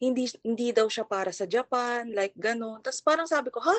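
Fairly quick and lively in intonation, a woman speaks with a Filipino accent. Her pitch is high. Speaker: caller. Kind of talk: advice call.

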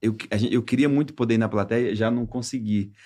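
Against a quiet background, a man with a normal speaking voice talks in a medium pitch and fairly even intonation. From Brazilian coast (caiçara region). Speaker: comedian and impressionist. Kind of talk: casual chat.

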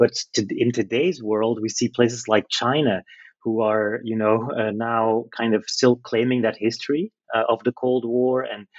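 A man with a Dutch accent speaks at a moderate pace. His pitch is medium and his intonation fairly even. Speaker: literature lecturer. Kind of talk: interview. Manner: halting.

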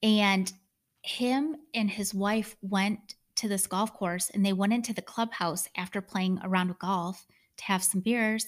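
Over a very clean recording with a silent background, a woman with an American accent talks at a fairly slow pace, medium in pitch, somewhat breathy, with fairly even intonation. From Michigan. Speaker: podcast co-host. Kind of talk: casual chat.

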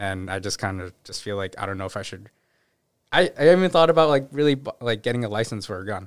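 A man with an American accent at a very fast pace, with very wide pitch swings and big swings in loudness, on a very clean recording with a silent background. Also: fairly low pitch for a man. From US Northeast, Newton, Massachusetts. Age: 20s. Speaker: guest. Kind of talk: casual chat. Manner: halting.

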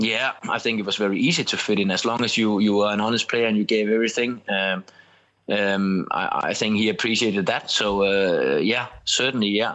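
A man with a Danish accent speaks at a fairly quick pace and a fairly low pitch, with very even loudness and fairly even intonation. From Denmark. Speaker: former footballer and TV pundit. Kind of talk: podcast interview. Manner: halting, many repetitions and fillers.

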